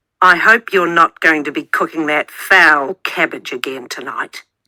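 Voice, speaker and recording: Growling in a put-on character voice, a woman speaks at a fairly low pitch and a moderate pace with ordinary pitch variation. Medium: read story. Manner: sneering, scornful.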